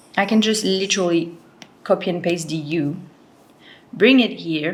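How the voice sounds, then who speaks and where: In a room with audible echo, a woman speaks at a moderate pace with a fairly low pitch and ordinary pitch variation. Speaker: lettering artist and tutorial creator. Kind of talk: tutorial. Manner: casual, with many fillers.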